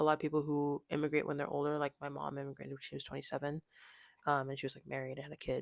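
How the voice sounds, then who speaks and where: A woman with an American accent speaks at a very deep, low pitch in monotone, flat intonation. The recording is very clean and silent, with a dry, close sound and no echo. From US, Nigerian immigrant family. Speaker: student presenter. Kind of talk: class presentation. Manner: casual, many fillers like 'like' and 'um'.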